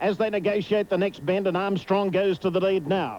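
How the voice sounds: A man speaks at a moderate pace with a slightly mellow tone. His pitch is high, with ordinary pitch variation.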